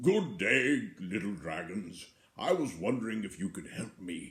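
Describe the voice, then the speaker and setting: Medium-pitched put-on character voice from a man, delivered at a moderate pace. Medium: read story. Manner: gentle, polite.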